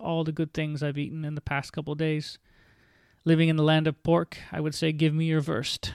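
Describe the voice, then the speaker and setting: A man with a Canadian accent speaks at a fairly quick pace and a fairly high pitch, monotone and flat. The recording is very clean with a silent background. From Ontario, Canada (St. Catharines). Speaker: podcast host sharing illness recovery story. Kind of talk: personal monologue.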